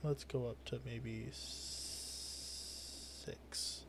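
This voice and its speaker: Soft-spoken, the man talks with a very deep, low pitch. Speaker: gaming streamer. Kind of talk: live game commentary.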